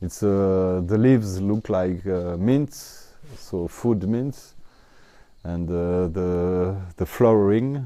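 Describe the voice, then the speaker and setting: Speaking very slowly in a French accent, a man uses a dark, mellow, fairly low voice with ordinary pitch variation. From France, Italian parents. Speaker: honey seller and Vietnam researcher. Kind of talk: interview storytelling. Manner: halting, many fillers.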